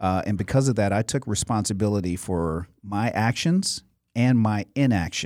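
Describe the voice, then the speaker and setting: A man's ordinary speaking voice, fairly low in pitch, with an American accent, ordinary pitch variation, very even loudness and a moderate pace, on a very clean recording with a silent background. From US Midwest (Cleveland, Chicago suburbs). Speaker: motivational speaker and youth mentor. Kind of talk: interview.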